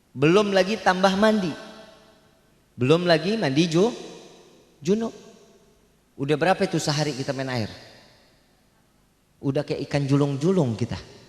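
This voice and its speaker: A man with a Jakarta accent, animated in tone and lively in intonation, with long, frequent pauses. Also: fairly high pitch for a man, moderate pace. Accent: Betawi. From Jakarta, Tanah Abang (Betawi). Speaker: preacher. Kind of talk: religious sermon.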